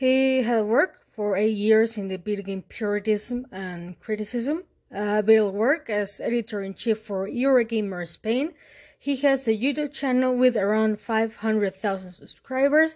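A woman with a Mexican accent, fairly high in pitch with ordinary pitch variation, at a fairly slow pace against a quiet background. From Mexico. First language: Spanish. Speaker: podcast host. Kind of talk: monologue analysis. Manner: halting with fillers.

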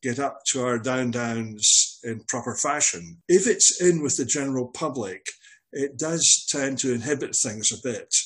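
Speaking at a fairly slow pace, a man with a Scottish accent uses lively intonation in a fairly high pitch. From Scottish Highlands (Glencoe). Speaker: veteran hasher and marathon runner. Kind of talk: casual interview.

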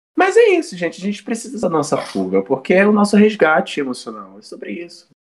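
Speaking at a fairly quick pace, a man uses a high pitch and lively intonation. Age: 20s. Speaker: student podcast co-host, visual artist. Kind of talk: casual chat.

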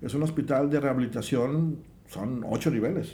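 A man with a fairly high pitch speaks at a moderate pace, his dark, mellow tone somewhat breathy, with ordinary pitch variation and audible room echo. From Mexico, Veracruz. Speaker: engineer in hospital construction. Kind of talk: casual chat.

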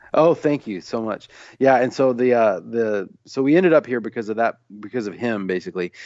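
A man with a plain, everyday voice talks at a fairly quick pace, his intonation lively. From US Midwest, Illinois near Saint Louis, then Tennessee. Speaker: singer-songwriter and author. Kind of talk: casual interview.

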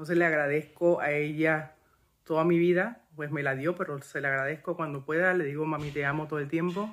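This is a plain, everyday voice with fairly even intonation. It moves at a fairly quick pace in a very clean recording with a silent background. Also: man, fairly high pitch for a man. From Panama. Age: 40s. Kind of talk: testimony.

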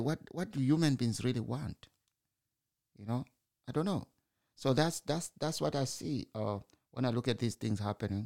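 In a dry, close recording with no echo, a man with a Zimbabwean accent speaks at a medium pitch, his voice swinging very widely up and down. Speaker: broadcaster or podcaster commenting on news. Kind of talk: solo opinion monologue. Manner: informal, halting with fillers.

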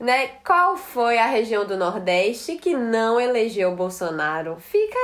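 A woman talks at a very slow pace with a fairly high pitch. Her pitch swings very widely. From Northeast Brazil, Ceará and Rio Grande do Norte (Natal). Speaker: psychologist. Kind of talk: casual chat.

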